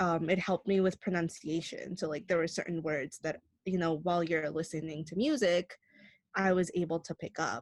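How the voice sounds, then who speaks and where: Recorded with a dry, close sound with no echo, a woman with a fairly low pitch talks at a moderate pace with fairly even intonation. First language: Spanish. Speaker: Spanish teacher co-host. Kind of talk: casual chat.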